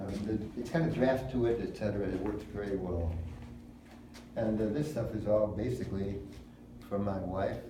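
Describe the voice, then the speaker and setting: A man with a fairly low pitch speaks with long, frequent pauses against noticeable background noise. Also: ordinary pitch variation, moderate pace. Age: 80s+. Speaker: philosopher, artist, former wrestling coach. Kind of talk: interview answer. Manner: rambling, hesitant, casual with profanity.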